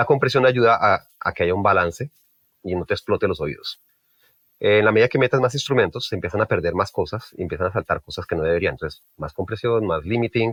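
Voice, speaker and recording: Here a man speaks at a very fast pace. His fairly low pitch carries lively intonation. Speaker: mixing engineer. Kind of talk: interview. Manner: halting.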